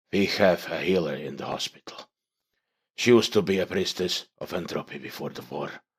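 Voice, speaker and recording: A hissing put-on character voice from a man, very deep and low, at a moderate pace. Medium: read story.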